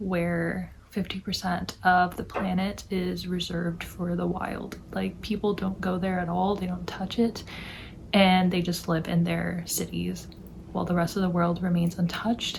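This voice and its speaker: A soft-spoken woman over noticeable background noise. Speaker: book vlogger. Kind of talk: casual chat.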